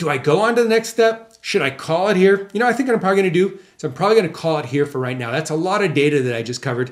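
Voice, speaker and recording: A man talks at a very fast pace in a high voice. His pitch swings very widely. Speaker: marketing consultant. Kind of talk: tutorial.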